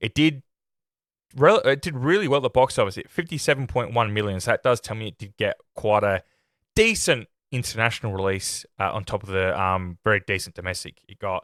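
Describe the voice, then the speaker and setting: At a fairly quick pace, a man with a medium pitch speaks with lively intonation and big swings in loudness. The recording is very clean, with a silent background and a dry, close sound with no echo. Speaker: film review podcaster. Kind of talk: casual chat, unscripted podcast review. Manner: halting, with self-corrections.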